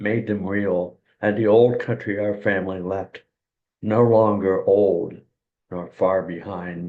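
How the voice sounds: With a quiet background, the text is read in a natural voice.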